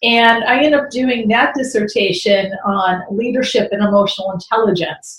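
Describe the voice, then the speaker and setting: A woman with an American accent talks at a moderate pace, her pitch fairly high with ordinary variation. Her loudness stays very even, and her voice is somewhat breathy. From Chicago, US Midwest. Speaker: business coach. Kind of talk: interview.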